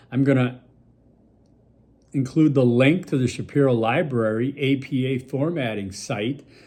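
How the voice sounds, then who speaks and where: Fairly slow in pace, the speech carries a dark, mellow tone. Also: man. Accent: American. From Milwaukee, US Midwest. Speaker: college instructor. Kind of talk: recorded lecture video for students. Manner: casual, conversational with fillers.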